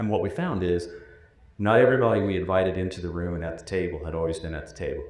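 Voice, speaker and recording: Talking very fast at a very deep, low pitch, a man keeps fairly even intonation while his loudness swings widely, with audible room echo around him. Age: 60s. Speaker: former higher education commissioner. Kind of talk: panel discussion.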